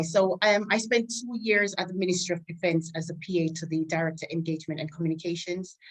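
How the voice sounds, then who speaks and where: A woman with a Caribbean accent speaks at a fairly quick pace, her pitch fairly low with ordinary pitch variation. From Jamaica. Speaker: army staff sergeant and PA. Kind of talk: interview.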